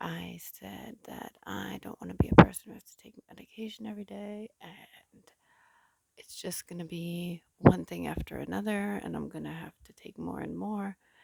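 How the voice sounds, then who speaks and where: A woman's whispering at a moderate pace, with big swings in loudness. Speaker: vlogger. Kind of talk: personal vlog. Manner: quiet, low voice; halting, many fillers.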